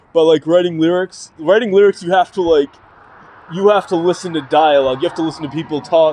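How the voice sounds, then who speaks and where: Delivered at a very fast pace with fairly even intonation, the speech has noticeable background noise behind it. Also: man, high pitch for a man. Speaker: YouTuber and amateur rapper. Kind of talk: casual vlog monologue. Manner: halting, many fillers and repetitions.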